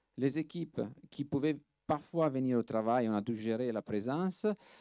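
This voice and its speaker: A man speaks with an Italian accent in a dark, mellow tone. His pitch varies in an ordinary way. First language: Italian (speaking French). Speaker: film restoration lab director. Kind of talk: panel talk. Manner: halting, many hesitations and repeats.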